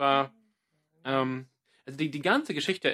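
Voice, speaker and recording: A man with an English accent speaks at a fairly slow pace in a medium pitch, his tone bright and sharp, on a very clean recording with a silent background. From Australia, Sydney. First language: English (speaking German). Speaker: podcast co-host, church ministry worker. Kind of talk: casual chat.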